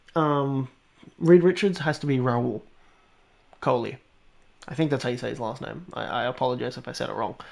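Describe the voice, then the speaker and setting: An animated, medium-pitched man's voice with ordinary pitch variation and big swings in loudness, at a fairly quick pace with long, frequent pauses, against a quiet background. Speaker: gaming streamer. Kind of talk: live stream chat. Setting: at home, housemates asleep. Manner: quieter, lowered voice; animated, rambling.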